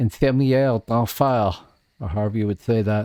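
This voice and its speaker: A man's medium-pitched voice at a fairly slow pace, with a dry, close sound and no echo. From Canada. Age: 60s. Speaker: gaming streamer. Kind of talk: live gameplay stream chat. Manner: casual, halting with fillers.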